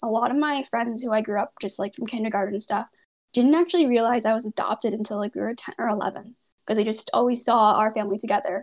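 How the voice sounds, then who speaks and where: A woman speaks with a Canadian accent at a fairly high pitch. It is an ordinary speaking voice. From Canada, Toronto area. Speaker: medical student. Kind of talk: casual interview.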